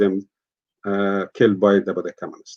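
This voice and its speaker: A man speaks with an Afghan accent. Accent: Afghan (Dari-speaking). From Afghanistan. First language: Dari. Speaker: peace activist. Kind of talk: interview testimony. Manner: halting.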